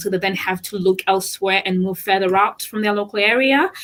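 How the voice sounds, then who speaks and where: A woman with a non-native accent, music in the background. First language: not English. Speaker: property solicitor. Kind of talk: radio panel discussion. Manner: halting, with frequent restarts and fillers.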